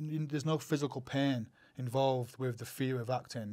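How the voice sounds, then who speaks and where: In a very clean recording with a silent background, a man with a Northern English accent talks with fairly even intonation. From Northern England. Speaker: actor, writer, producer. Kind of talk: interview answer.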